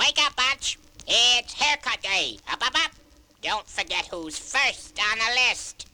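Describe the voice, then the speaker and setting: Lively intonation carries a put-on character voice delivered at a fairly slow pace. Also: man, extremely high pitch for a man. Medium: read story. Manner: barking, bossy.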